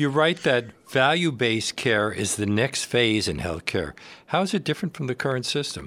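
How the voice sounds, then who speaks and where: In a very clean recording with a silent background, a man at medium pitch speaks at a moderate pace with vocal fry, a bright, sharp tone and very wide pitch swings. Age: 60s. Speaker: radio host. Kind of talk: radio interview. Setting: studio.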